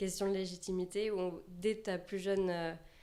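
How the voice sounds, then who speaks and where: Speaking at a fairly slow pace, a woman has a medium pitch and a dark, mellow tone. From southwest France, Landes. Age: 20s. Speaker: personal branding consultant. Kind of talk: podcast interview. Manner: halting, many fillers.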